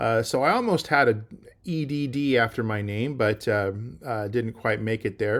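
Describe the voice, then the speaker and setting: On a very clean recording with a silent background, a man speaks at a moderate pace and medium pitch with fairly even intonation. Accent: Californian. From US West, California Central Valley. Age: 50s. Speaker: college biology instructor. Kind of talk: course orientation talk. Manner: casual, many fillers and restarts.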